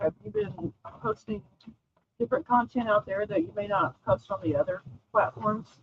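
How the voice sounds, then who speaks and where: Somewhat breathy, a woman with an Oklahoma accent speaks at a moderate pace while her pitch swings very widely. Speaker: talk show host. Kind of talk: live-streamed interview.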